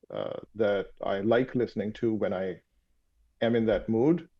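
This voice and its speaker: In a Pakistani accent, a man talks at a medium pitch with fairly even intonation. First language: Urdu. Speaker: sleep doctor and startup founder. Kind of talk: interview conversation. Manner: halting, many fillers.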